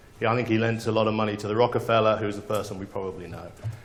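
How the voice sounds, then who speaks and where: Audible room echo surrounds a man's speaking voice. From England. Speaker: conference speaker. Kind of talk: conference talk. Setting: stage with audience. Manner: hesitant fillers, animated.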